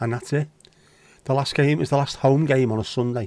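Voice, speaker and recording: A man speaks with a Scouse accent and a dark, mellow tone. His intonation stays fairly even. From Liverpool, England. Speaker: livestream host. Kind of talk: casual chat. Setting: livestream. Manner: casual, sweary.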